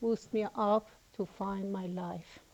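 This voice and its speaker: A woman's flat, monotone delivery in a Persian accent, with noticeable background noise. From Iran. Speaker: student. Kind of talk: testimony.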